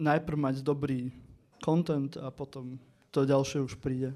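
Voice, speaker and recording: Speaking at a fairly slow pace, a man with an eastern Slovak accent talks at a fairly high pitch. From eastern Slovakia. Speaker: political podcaster. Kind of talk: panel discussion.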